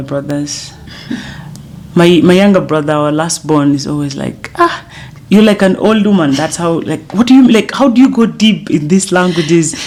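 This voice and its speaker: There is noticeable background noise as a woman with a fairly low voice speaks at a moderate pace. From South Sudan. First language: Dinka. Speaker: singer. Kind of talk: interview. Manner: halting.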